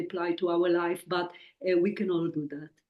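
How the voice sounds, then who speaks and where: A woman with a strong Israeli accent and a dark, mellow tone. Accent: Israeli, heavy. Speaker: psychic medium and author. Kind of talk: interview.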